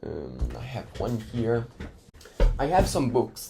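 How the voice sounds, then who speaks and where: Noticeable background noise sits behind the voice. A man talks at a very slow pace. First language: Italian. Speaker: educational YouTuber. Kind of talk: casual talk to camera.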